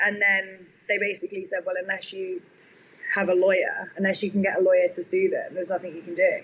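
A woman with a southern English accent at a medium pitch, with noticeable background noise. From southern England, near London. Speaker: tech startup founder. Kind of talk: interview.

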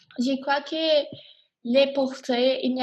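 A woman with an English accent speaks very slowly in a high voice. The background is quiet. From Miami, Florida. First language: English (speaking French). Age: 20s. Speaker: college student. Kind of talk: class podcast discussion. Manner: hesitant, many fillers.

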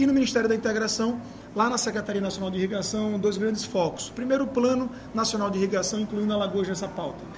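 A man's high voice at a very fast pace, fairly even in intonation, with audible room echo and noticeable background noise. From Maceió, Alagoas, Brazil. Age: 30s. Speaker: mayoral candidate. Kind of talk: interview.

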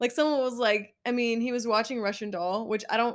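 Using an ordinary speaking voice, a woman talks at a fairly quick pace with fairly even intonation. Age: 20s. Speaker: podcast co-host. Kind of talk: casual chat. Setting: home bedroom. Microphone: new microphone, only one working.

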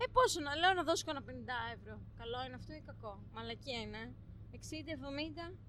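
A woman talks at a moderate pace with big swings in loudness, with audible room echo and noticeable background noise. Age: 30s. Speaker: psychology student and podcast co-host. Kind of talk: casual chat.

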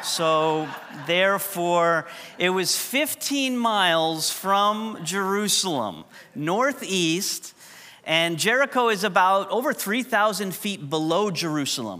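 A man with a high pitch speaks at a very slow pace in a raised, projected voice. His tone is bright and sharp, and his intonation is lively. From New York. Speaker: pastor. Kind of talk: sermon. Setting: church.

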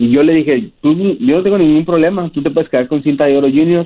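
A man delivers his words very quickly, his intonation lively throughout. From Mexico, Ciudad Juárez. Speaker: professional wrestler. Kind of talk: interview.

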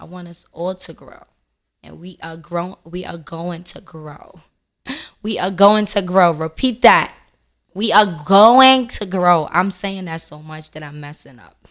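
A woman with a fairly low voice speaks at a fairly slow pace in an animated tone, her pitch varying in an ordinary way and her loudness swinging widely, on a very clean recording with a silent background. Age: 20s. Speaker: motivational podcaster. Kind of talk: casual monologue.

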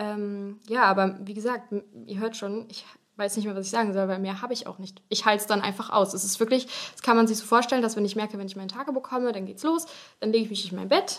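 Very fast speech from a woman, fairly high in pitch, with fairly even intonation. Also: big swings in loudness. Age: 20s. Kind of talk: casual interview about health.

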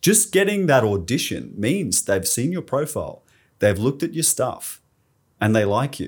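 On a very clean recording with a silent background, a man speaks at a moderate pace and medium pitch. His voice is somewhat breathy, with very wide pitch swings. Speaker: podcast host. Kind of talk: casual interview.

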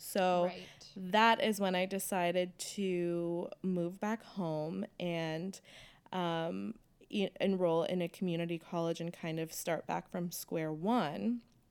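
On a very clean recording with a silent background, a woman with an American accent speaks at a very slow pace, her fairly low pitch held in fairly even intonation. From Southern California. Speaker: law student and former performance artist. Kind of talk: interview.

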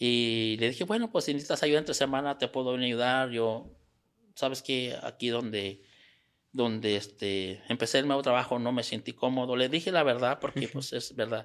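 Speaking with a Mexican accent, a man uses a medium pitch and ordinary pitch variation at a moderate pace. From Mexico, Sierra Gorda. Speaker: small business owner. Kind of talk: interview. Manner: halting.

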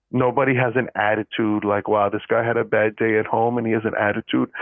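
A man speaks in a normal speaking voice at a medium pitch. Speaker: podcast co-host, student. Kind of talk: casual chat, unscripted podcast.

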